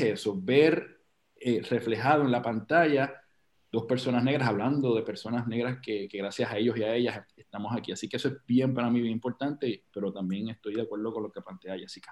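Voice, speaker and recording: A man talks at medium pitch in a normal speaking voice. His pitch varies in an ordinary way. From Puerto Rico, Loíza. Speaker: actor and producer. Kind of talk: casual chat.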